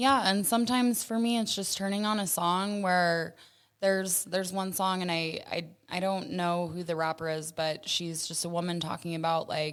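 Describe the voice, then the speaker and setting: In a plain, everyday voice, a woman talks at a medium pitch, her pitch varying in an ordinary way. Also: moderate pace. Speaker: sex trafficking survivor. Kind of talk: interview.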